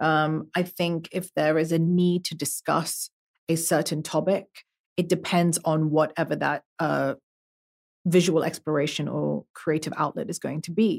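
Vocal fry and monotone, flat intonation mark this fairly slow delivery, recorded with a dry, close sound and no echo. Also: woman, very deep, low pitch for a woman. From Belgium. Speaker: artist. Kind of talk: casual interview.

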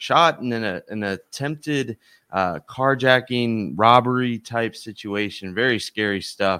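With ordinary pitch variation, the voice has a bright, sharp tone and a dry, close sound with no echo on a very clean recording with a silent background. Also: man. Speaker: podcast host. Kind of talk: casual sports talk.

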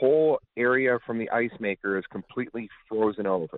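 In an American accent, a normal speaking voice moves at a fairly slow pace with ordinary pitch variation. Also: man. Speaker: caller. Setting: phone call.

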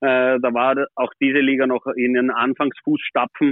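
A man's medium-pitched, monotone, flat delivery at a fairly slow pace. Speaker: former ice hockey goalie, player agent. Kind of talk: casual interview. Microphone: poor sound quality.

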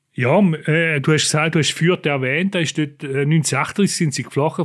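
A man at a fairly high pitch, fairly even intonation, very clean recording with a silent background. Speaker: podcast host, newspaper foreign editor. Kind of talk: interview conversation.

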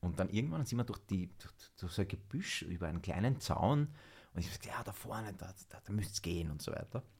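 Very fast, somewhat breathy speech with lively intonation. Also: man, fairly low pitch for a man. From Vienna, Austria. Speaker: actor. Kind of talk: casual chat.

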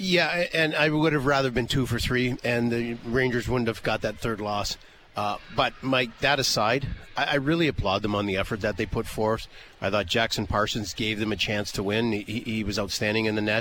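A man talks in an unremarkable speaking voice at a medium pitch. He keeps a moderate pace with ordinary pitch variation. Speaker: radio analyst and post-game interviewer. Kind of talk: post-game interview and commentary. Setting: rinkside downstairs interview.

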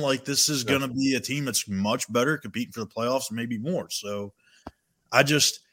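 Speaking at a fairly quick pace, a man with a medium pitch and a bright, sharp tone comes through on a very clean recording with a silent background. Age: 20s. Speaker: sports reporter. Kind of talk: casual chat.

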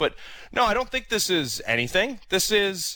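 At a moderate pace, a man speaks in a bright, sharp tone with very wide pitch swings, recorded very cleanly over a silent background. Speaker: radio host. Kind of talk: casual chat.

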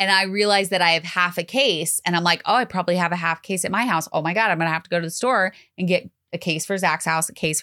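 With a bright, sharp tone, a woman speaks very fast in a fairly low voice with ordinary pitch variation and very even loudness, in a very clean recording with a silent background. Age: 30s. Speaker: podcast co-host. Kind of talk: casual chat.

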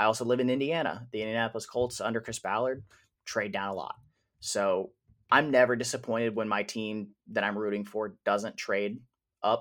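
A man's ordinary speaking voice with an American accent, medium pitch and fairly even intonation, on a very clean recording with a silent background. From Wisconsin. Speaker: sports podcast co-host. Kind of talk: casual chat.

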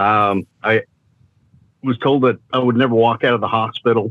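Speaking at a fairly quick pace, a man has an ordinary speaking voice with a medium pitch. His intonation stays fairly even. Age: 60s. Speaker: paralyzed athlete and motivational speaker. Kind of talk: testimony.

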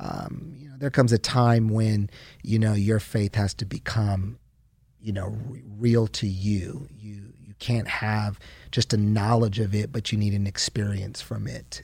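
With ordinary pitch variation and big swings in loudness, a man speaks in a somewhat breathy, fairly low voice at a fairly slow pace, in a very clean recording with a silent background. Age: 40s. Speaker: pastor. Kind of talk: interview testimony.

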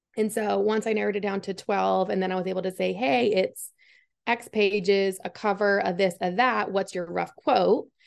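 An unremarkable speaking voice belongs to a woman with an American accent. Her pitch is medium and her intonation fairly even. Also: moderate pace. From Massachusetts. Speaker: football coach's wife, engineer, author. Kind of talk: interview. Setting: video call.

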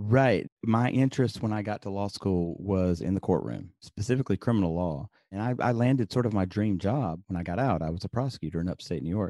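Against a quiet background, a man with a slight Southern US accent and a fairly low pitch talks at a fairly quick pace with hardly any pauses, his tone dark and mellow and the sound dry and close with no echo. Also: ordinary pitch variation. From Birmingham, Alabama. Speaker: papermaker and podcaster, former lawyer and professor. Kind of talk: casual interview chat.

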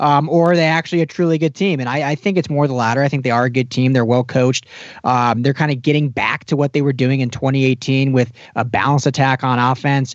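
A man with an American accent, talking at a very fast pace and very even loudness. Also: medium pitch for a man. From Colorado (Denver). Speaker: football podcast host. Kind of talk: casual chat.

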